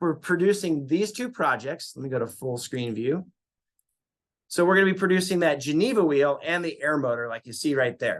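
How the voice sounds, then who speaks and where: Taking long, frequent pauses, a man with a high pitch speaks with lively intonation. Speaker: university lab instructor. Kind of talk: recorded lecture. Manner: fast.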